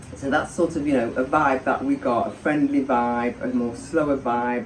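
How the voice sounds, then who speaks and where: The talking proceeds at a moderate pace while noticeable background noise lingers behind it. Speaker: expat guest. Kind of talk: interview storytelling.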